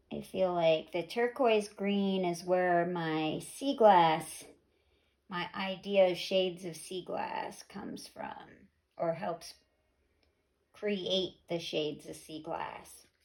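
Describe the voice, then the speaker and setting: Someone in a put-on character voice mumbles at a very slow pace. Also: woman, medium pitch for a woman. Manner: mumbling.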